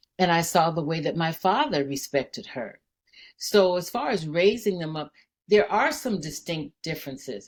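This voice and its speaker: A woman speaks at a moderate pace in a normal speaking voice. Her pitch sits fairly low, and her intonation is lively. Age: 60s. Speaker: daycare owner. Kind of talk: casual chat.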